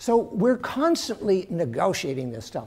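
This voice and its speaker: A man speaks with a Western American accent. His pace is moderate. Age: middle-aged. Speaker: professor. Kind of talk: lecture.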